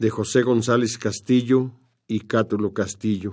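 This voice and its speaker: At a fairly slow pace, a man speaks at a medium pitch with monotone, flat intonation. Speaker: radio host. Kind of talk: scripted narration.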